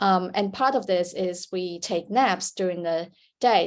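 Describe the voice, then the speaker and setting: A woman with a Chinese accent, medium in pitch, at a moderate pace. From China. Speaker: sleep researcher, panelist. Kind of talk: panel discussion. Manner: hesitant, many fillers.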